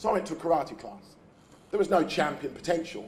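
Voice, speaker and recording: Over noticeable background noise, a man with a high pitch speaks at a very fast pace with ordinary pitch variation. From England, East End of London. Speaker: youth charity founder, speaker. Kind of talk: keynote speech. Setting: breakfast event before an audience. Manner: formal.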